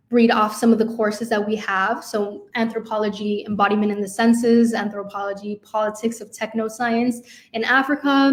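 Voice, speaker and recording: A woman's fairly high, somewhat breathy voice with a Spanish accent at a fairly quick pace. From Chicago, US Midwest. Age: 20s. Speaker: university student, intern. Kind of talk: info session presentation. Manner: hesitant, many fillers.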